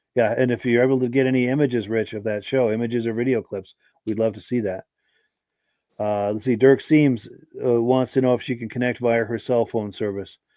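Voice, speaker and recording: A man in a normal speaking voice talks at medium pitch, at a fairly quick pace and with fairly even intonation. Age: 60s. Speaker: podcast host. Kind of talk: live podcast chat reading viewer comments.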